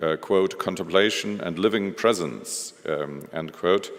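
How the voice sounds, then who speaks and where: With a German accent, a man talks at a moderate pace in a very deep, low voice with ordinary pitch variation. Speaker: museum director. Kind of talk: lecture. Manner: halting, many fillers.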